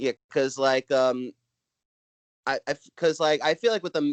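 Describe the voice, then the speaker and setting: Fairly quick pace from a man with a Brooklyn accent, dry, close sound with no echo. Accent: Brooklyn New York. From Brooklyn, New York. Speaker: stand-up comedian. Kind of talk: casual chat. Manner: halting, many filler words.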